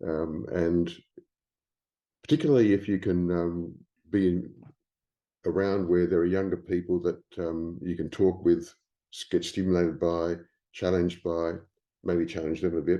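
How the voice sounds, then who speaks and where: The speaker has an Australian accent and a dark, mellow tone, with monotone, flat intonation at a moderate pace. Long, frequent pauses break up the speech over a quiet background. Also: man, very deep, low pitch for a man. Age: 70s. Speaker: writer and publisher. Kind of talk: interview. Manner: hesitant, many fillers.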